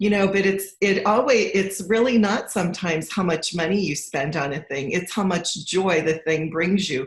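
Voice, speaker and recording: A woman speaks with hardly any pauses in a somewhat breathy voice. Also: medium pitch for a woman, ordinary pitch variation, moderate pace. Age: 60s. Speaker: financial coach. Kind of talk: casual chat.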